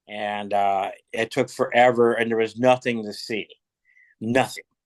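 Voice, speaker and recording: With an American accent and monotone, flat intonation, a man at medium pitch is heard in a dry, close sound with no echo. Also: quiet background. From Kentucky. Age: 60s. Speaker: rock musician. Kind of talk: casual chat. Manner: halting.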